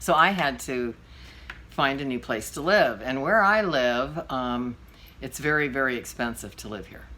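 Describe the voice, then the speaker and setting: With a very deep, low pitch and a bright, sharp tone, a woman speaks with lively intonation and big swings in loudness. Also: moderate pace. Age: 60s. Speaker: vlogger and podcaster. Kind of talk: storytelling monologue. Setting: at home. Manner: casual, with fillers.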